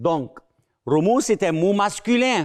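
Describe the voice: With big pitch swings, a man speaks slowly at a high pitch.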